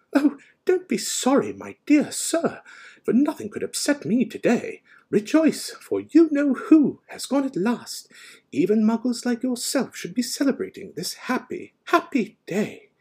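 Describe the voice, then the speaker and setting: A squeaky put-on character voice from a man, extremely high-pitched, with very wide pitch swings at a moderate pace. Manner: delighted, jubilant.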